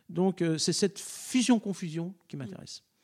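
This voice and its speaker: At a fairly slow pace, a man with a dark, mellow tone speaks with ordinary pitch variation. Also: very clean recording, silent background. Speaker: choir director. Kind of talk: interview. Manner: halting.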